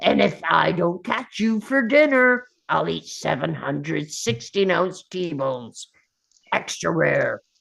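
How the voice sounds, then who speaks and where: In a fairly slow, gruff, put-on character voice, the lines are drawn out. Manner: boastful, tough.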